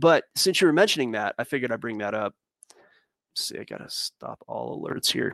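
Over a quiet background, a man talks at a fairly quick pace with lively intonation. His loudness swings widely, and vocal fry comes through. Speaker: crypto market analyst. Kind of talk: casual chat with chart analysis. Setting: live stream.

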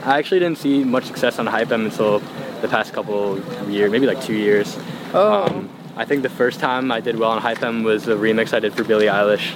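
A man talks at a medium pitch with ordinary pitch variation. His pace is fairly quick, and there is noticeable background noise. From Long Island, New York. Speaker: music producer. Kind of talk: casual chat.

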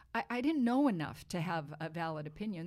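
Speaking fairly quickly in an American accent, a woman makes very wide pitch swings. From Boston, US. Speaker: wine writer and author. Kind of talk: casual interview chat.

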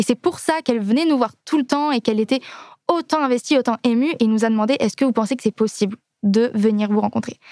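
Speaking at a very fast pace, a woman has a fairly high pitch and very even loudness. The sound is dry and close, with no echo. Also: ordinary pitch variation. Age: 20s. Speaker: singer in a theme park musical. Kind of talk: casual interview.

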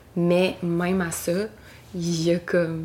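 Speaking with a Quebec accent, a woman has a fairly low voice. Her intonation stays monotone and flat. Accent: Québécois French. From Quebec, West Island of Montreal. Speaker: singer-songwriter. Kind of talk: interview. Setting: at home.

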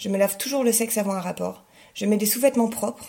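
In an ordinary speaking voice, a woman talks at a fairly quick pace with fairly even intonation. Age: 30s. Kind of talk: testimony.

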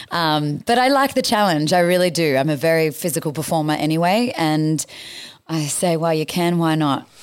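With an Australian accent, the speaker keeps a moderate pace, very even loudness, and lively intonation on a very clean recording with a silent background. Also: woman, fairly low pitch for a woman. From Australia, New South Wales south coast. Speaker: musical theatre actor. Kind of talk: interview chat.

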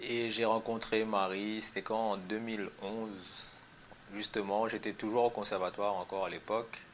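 Fairly low-pitched and monotone, a man speaks with flat intonation at a fairly slow pace. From Réunion, Saint-Pierre. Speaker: musician, percussionist. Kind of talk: interview. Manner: halting, many repetitions.

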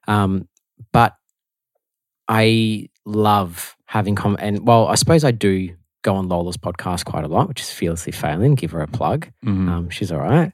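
A fairly low-pitched man with an Australian accent, lively intonation and a moderate pace, in a very clean recording with a silent background. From Melbourne, Australia. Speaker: podcast co-host, musician. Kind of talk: casual chat.

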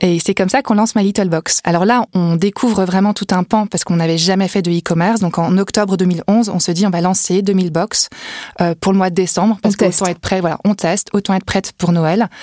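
Here a woman talks fairly quickly at a medium pitch, with very even loudness and fairly even intonation. Noticeable background noise runs underneath. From Brittany, France (Vannes). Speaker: entrepreneur. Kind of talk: interview.

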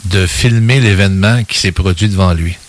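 A man talks in a fairly low voice with ordinary pitch variation, an ordinary speaking voice. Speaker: radio co-host, UFO investigator. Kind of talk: radio interview.

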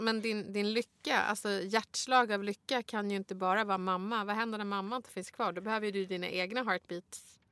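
With a bright, sharp tone at medium pitch, a woman talks at a fairly quick pace with fairly even intonation, in a dry, close sound with no echo. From Sweden, Stockholm (Bredäng). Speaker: podcast co-host, rhetorician. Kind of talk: casual interview chat.

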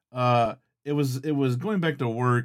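The very clean recording with a silent background carries a man's ordinary speaking voice at medium pitch with ordinary pitch variation. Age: 30s. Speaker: paranormal podcast host. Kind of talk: casual chat; scripted narration. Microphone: close to the mic, louder than normal.

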